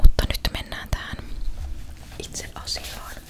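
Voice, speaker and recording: Whispered speech comes at a fairly slow pace over noticeable background noise. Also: woman. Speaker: ASMR content creator. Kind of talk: casual talk to camera, ASMR chat. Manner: soft-spoken, whispered.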